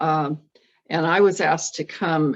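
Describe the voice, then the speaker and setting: Speaking at a very slow pace, a woman uses a fairly low voice. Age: 80s+. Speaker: retired churchgoer exploring a ministry. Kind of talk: casual interview. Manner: halting.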